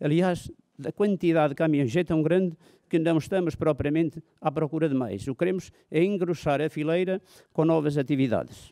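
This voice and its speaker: A man's dark, mellow tone at a fairly high pitch. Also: ordinary pitch variation, moderate pace, quiet background. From Portugal. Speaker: mayor. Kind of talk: formal speech. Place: hall. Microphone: podium.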